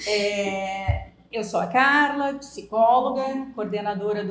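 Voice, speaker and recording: A woman's somewhat breathy voice at a medium pitch, with a slight gaúcho accent, ordinary pitch variation and audible room echo. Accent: slight gaúcho accent, still somewhat strong. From southern Brazil (Rio Grande do Sul). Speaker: psychologist. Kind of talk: podcast interview.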